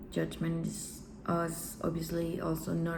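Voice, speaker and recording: The pace is fairly slow. A woman talks with a non-native accent. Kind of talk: self-help talk to camera.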